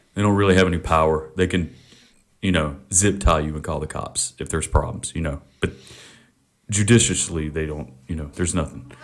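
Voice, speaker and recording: The speaker has a Southern US accent and moves at a fairly quick pace. Pitch varies in an ordinary way. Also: man, very deep, low pitch for a man. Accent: American Southern. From US South, Mississippi. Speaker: podcast host. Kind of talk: casual chat. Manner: loud.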